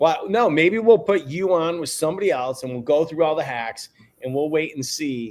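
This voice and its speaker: At a moderate pace, a man with a plain, everyday voice speaks fairly high in pitch with lively intonation. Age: 50s. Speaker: live show host. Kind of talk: casual chat.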